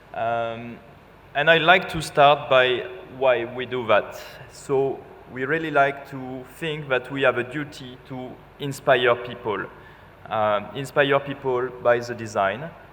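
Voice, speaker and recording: A man at medium pitch, very slow and fairly even in intonation, with audible room echo and noticeable background noise. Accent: French. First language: French. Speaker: architect, design firm representative. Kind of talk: conference talk. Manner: hesitant, with fillers.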